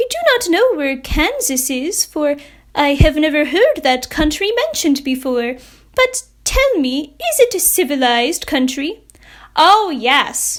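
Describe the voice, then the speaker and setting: A woman uses a put-on character voice with a high pitch at a fairly slow pace in a very clean recording with a silent background. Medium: read story.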